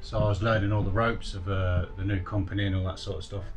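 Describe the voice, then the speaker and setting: A man's fairly low voice over clear background music. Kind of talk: casual vlog chat. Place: boat. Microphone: phone near.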